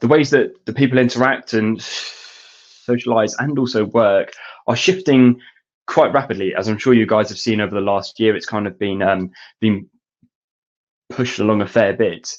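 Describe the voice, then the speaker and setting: A man with a British accent, a fairly quick pace and ordinary pitch variation. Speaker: education technology specialist. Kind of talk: webinar presentation. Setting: online webinar. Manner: halting.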